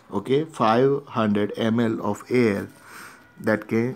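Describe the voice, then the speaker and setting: A man speaks with a Gujarati accent. His intonation is fairly even. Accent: Indian English (Gujarati). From India (Gujarat, Ahmedabad). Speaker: teacher. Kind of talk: lecture. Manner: repetitive filler okay.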